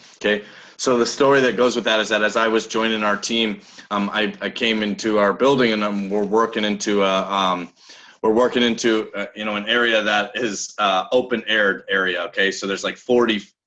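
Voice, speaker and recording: A man with an American accent speaks loudly at a fairly quick pace. His pitch is fairly low, and his tone is bright and sharp. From Nebraska. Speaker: business coach. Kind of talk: motivational talk. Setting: video call. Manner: animated.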